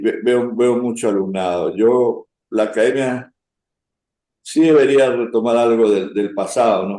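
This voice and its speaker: Very slow delivery from a man. His tone is dark and mellow. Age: 70s. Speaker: former naval academy cadet. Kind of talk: interview reminiscence. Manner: halting, with repetitions.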